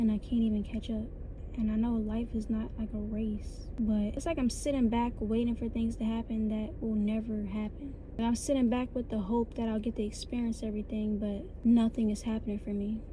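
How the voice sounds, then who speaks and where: Noticeable background noise and audible room echo fill the recording. A woman with an American accent talks at a fairly quick pace, fairly high in pitch, in a monotone, flat intonation. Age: 20s. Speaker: vlogger. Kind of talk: personal vlog monologue.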